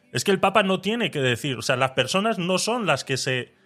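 Music plays in the background while a man talks with very wide swings in pitch. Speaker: podcast host. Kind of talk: casual chat.

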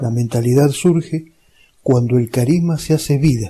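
A man talks at a fairly slow pace in a medium pitch with ordinary pitch variation. His voice has a dark, mellow tone and is somewhat breathy. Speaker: lay religious teacher. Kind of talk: lecture. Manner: clear, didactic.

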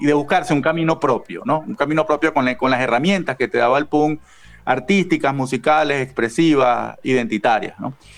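A man speaks in an unremarkable speaking voice. His pitch sits fairly high. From Venezuela. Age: 40s. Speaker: author and punk zine editor. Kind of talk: interview.

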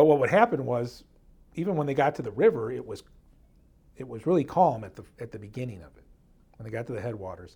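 Speaking at a very fast pace broken by long, frequent pauses, a man with a medium pitch has a dark, mellow tone, a somewhat breathy quality and big swings in loudness. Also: lively intonation. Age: 50s. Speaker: history podcast co-host. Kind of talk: casual history storytelling.

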